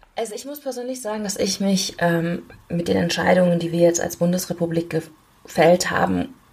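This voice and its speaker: Fairly quick speech comes from a woman with a fairly low pitch. Noticeable background noise runs underneath. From Germany, Aachen. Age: 30s. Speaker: member of parliament. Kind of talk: interview. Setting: video call. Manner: hesitant fillers.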